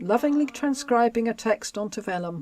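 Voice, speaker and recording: With a Home Counties accent, a woman speaks at a fairly high pitch with very wide pitch swings, in a very clean recording against a silent background. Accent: southern English, home counties. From southern England, Buckinghamshire. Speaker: history podcast co-host. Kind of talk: reading aloud; casual chat.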